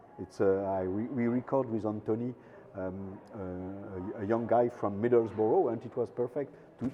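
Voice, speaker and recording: In a French accent, a man speaks at a moderate pace with a fairly low pitch and fairly even intonation. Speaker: documentary filmmaker. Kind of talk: interview. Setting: film festival. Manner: halting.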